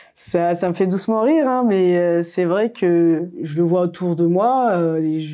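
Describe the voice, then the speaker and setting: The voice has a dark, mellow tone and very even loudness, moving at a very slow pace with hardly any pauses and ordinary pitch variation. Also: woman, fairly low pitch for a woman. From Mayotte. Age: 30s. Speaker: architect. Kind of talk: interview. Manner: hesitant, many fillers.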